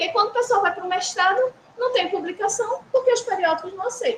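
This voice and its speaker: A woman speaks in a strong northeastern Brazilian accent. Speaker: university instructor. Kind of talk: workshop lecture. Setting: hybrid session with live audience. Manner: conversational.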